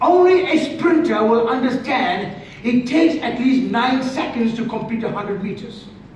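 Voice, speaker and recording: With light background noise and audible room echo, a man speaks at an extremely high pitch and a moderate pace, using ordinary pitch variation. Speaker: preacher. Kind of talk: sermon. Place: church. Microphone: camera far.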